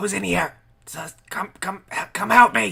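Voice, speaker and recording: Someone shouts in a raspy, put-on character voice. The pace is fairly slow. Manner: shouting, calling for help.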